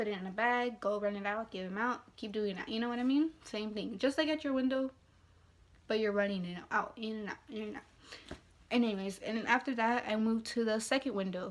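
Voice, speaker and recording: A woman's fairly high voice at a fairly quick pace with ordinary pitch variation. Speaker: fast-food worker. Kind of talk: casual talk to camera. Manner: rambling, casual.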